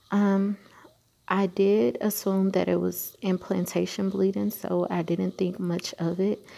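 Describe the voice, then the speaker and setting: A quiet woman with a dark, mellow tone and monotone, flat intonation. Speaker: vlogger, night shift nurse. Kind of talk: personal vlog update. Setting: at work during night shift, hospital. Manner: quiet, talking low; hesitant, many fillers.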